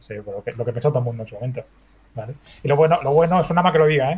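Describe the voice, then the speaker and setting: Talking at a very fast pace, a man with a fairly high, somewhat breathy voice shows ordinary pitch variation. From Spain, Badalona (Catalonia). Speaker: video game developer. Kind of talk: interview.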